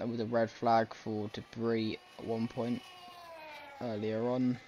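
A man speaks at a medium pitch while noticeable noise fills the background. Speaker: sports commentator. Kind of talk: live sports commentary. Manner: conversational, loosely improvised, with filler 'um's; animated, quick-reacting to on-track action.

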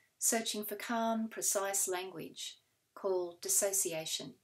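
A woman is talking. Her surroundings are quiet. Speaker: poet. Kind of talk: poet reading her own confessional poem sequence aloud. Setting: recorded reading video. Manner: measured, deliberate pacing with weighted pauses between fragments. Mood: calm, measured, solemn. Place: home room. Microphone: webcam.

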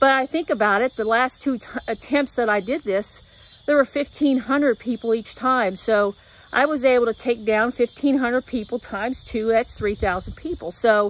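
At a moderate pace, a woman with a high pitch and ordinary pitch variation is heard in a dry sound with no echo. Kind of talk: casual vlog chat. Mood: upbeat, hopeful. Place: garden. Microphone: phone near.

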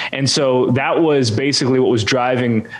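A man with a Canadian accent speaks at a moderate pace with fairly even intonation. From Canada. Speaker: church communications consultant; interview guest. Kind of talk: interview. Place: home room. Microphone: studio mic.

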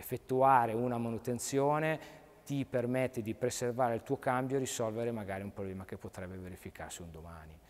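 Delivery is fairly quick. The pitch rises and falls in an ordinary way. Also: man. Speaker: car mechanic, garage owner. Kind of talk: tutorial. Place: workshop. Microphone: phone near.

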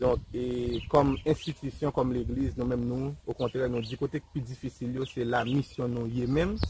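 With noticeable background noise behind him, the man's medium-pitched voice moves at a fairly quick pace, his intonation fairly even. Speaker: pastor and agricultural school director. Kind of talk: interview.

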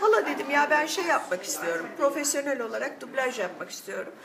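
A woman speaks at a moderate pace in a high voice, with noticeable noise in the background. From Turkey. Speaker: voice actor. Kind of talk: interview answer. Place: cafe.

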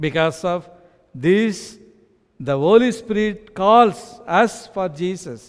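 A man's high-pitched voice with an Indian accent, at a very slow pace against a quiet background. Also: lively intonation. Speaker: pastor. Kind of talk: sermon. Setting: church. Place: church. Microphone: headset.

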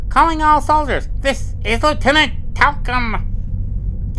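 A put-on character voice, high-pitched and very slow, over clear background noise. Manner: funny, put-on officer voice.

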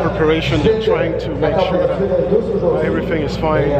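A man speaks over loud background noise. Audible room echo surrounds his voice. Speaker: vlogger. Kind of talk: casual vlog chat. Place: street.

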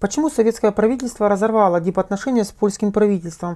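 The voice has a dark, mellow tone and fairly even intonation, moving at a very fast pace over a quiet background. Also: woman. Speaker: interviewer, editor. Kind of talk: interview. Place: studio. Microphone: lapel.

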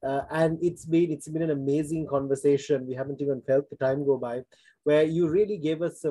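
A man's dark, mellow tone with fairly even intonation, dry sound with no echo. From Sri Lanka. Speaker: forum host, former diplomat; forum host. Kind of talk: interview. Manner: formal. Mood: polite, formal, appreciative. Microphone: video call.

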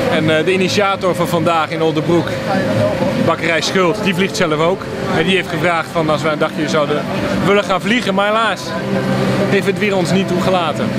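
Over loud background noise, a man speaks at a fairly quick pace in a dry sound with no echo. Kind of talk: interview answer. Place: street.

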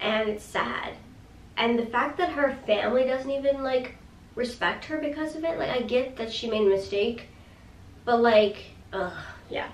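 Animated and high-pitched, a woman speaks at a moderate pace with long, frequent pauses, and the audio has audible room echo. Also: ordinary pitch variation. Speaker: YouTuber reviewing TV episodes. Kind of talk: casual video review. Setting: home video recording. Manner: animated, gesturing with hands. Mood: sympathetic, animated. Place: home room.

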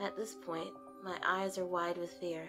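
A woman talks at a medium pitch while music plays in the background. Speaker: creepypasta reader. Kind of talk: reading aloud.

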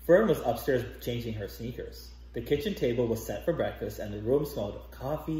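This is an unforced reading voice. It carries the words through the whole clip.

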